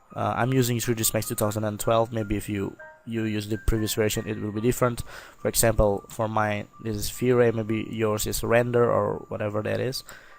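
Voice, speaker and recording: Music plays in the background while a man speaks at a fairly quick pace. His fairly low pitch stays monotone and flat. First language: not English. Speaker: software tutorial maker. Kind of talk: tutorial. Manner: halting, many fillers; casual.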